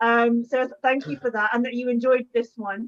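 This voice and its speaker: A woman's fairly high voice in an English accent, with fairly even intonation. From England. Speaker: historian and book author. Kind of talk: panel discussion response. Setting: online video call. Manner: hesitant, many fillers.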